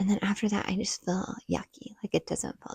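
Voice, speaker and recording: A quiet, somewhat breathy woman at medium pitch with a dark, mellow tone, in a dry, close sound with no echo. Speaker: stay-at-home mom vlogger. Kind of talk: casual vlog talk to camera. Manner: talking quietly.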